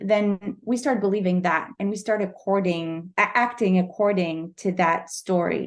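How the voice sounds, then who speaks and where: A woman's medium-pitched voice with a Quebec French accent, ordinary pitch variation, and a moderate pace. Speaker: novelist. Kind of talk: interview. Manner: halting.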